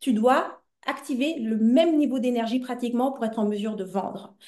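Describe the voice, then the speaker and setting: Her voice is high with a dark, mellow tone. The woman keeps a moderate pace and ordinary pitch variation. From Belgium, Brussels. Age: 40s. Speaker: entrepreneur and business coach. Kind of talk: interview conversation. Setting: podcast.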